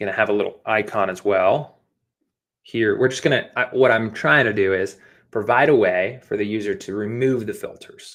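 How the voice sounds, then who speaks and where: With fairly even intonation, the clip features an ordinary speaking voice. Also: man, very clean recording, silent background. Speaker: app design instructor. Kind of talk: live coding tutorial. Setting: livestream.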